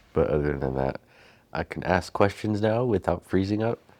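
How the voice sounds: Soft-spoken and slightly mellow in tone, a man talks at a moderate pace with ordinary pitch variation.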